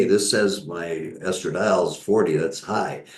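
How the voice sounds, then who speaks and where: This man speaks with an American accent at a moderate pace. His pitch varies in an ordinary way, and the room echo is audible. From US Midwest (Northern Michigan). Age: 70s. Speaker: physician. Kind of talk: interview.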